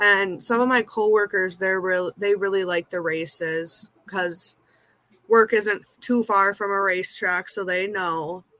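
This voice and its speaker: In a Minnesotan accent, a woman talks at a fairly slow pace with a medium pitch, a bright, sharp tone and fairly even intonation, the sound dry and close with no echo. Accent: Minnesota. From US Midwest, central Minnesota. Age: 20s. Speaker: amateur race car driver, nursing assistant. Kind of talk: interview.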